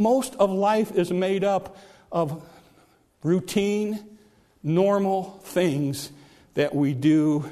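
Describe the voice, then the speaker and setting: A man's high pitch and lively intonation, at a very slow pace with long, frequent pauses. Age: 60s. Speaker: pastor. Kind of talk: sermon. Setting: church.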